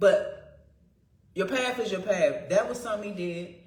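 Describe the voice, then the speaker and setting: Over noticeable background noise and audible room echo, a woman speaks at a moderate pace in an animated tone. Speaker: spiritual vlogger. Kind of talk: casual monologue. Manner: loud.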